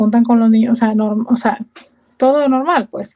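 A woman with a fairly high pitch speaks in a dark, mellow tone with monotone, flat intonation. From Mexico, Culiacán, Sinaloa. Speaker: immigrant interviewee. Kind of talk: interview.

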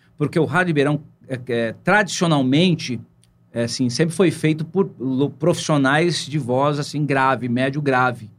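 Ordinary pitch variation marks this moderately paced speech. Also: man. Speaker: radio presenter. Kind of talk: casual interview chat.

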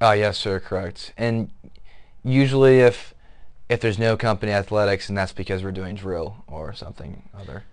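Speaking with an American accent over a quiet background, a man with a fairly low pitch keeps a moderate pace, with ordinary pitch variation and big swings in loudness. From Southwest Michigan. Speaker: military academy cadet. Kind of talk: interview. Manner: hesitant, many fillers.

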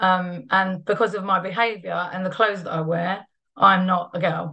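Her tone is bright and sharp as this woman speaks at a medium pitch. The background is quiet. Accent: London. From East London, England. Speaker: trade unionist and feminist activist. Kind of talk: personal testimony talk.

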